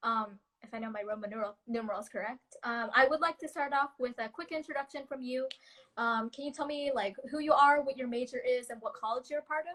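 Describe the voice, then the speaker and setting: Speaking very fast in an American accent, a woman uses a high pitch with ordinary pitch variation. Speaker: student leader hosting a live talk. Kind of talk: interview over video call. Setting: video call.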